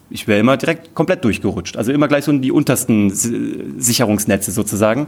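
Very fast male speech with lively intonation. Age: 30s. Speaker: entrepreneur and TV producer. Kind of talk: live podcast interview. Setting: stage with audience. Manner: animated, with many filler sounds.

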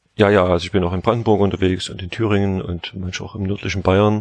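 In a flat monotone, a man speaks at a very deep, low pitch. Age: 40s. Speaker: baker and bakery school head. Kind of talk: interview.

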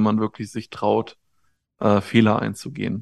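Dry and close with no echo, a man speaks at a moderate pace in a monotone, flat intonation. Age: 30s. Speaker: life coach. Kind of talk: casual interview.

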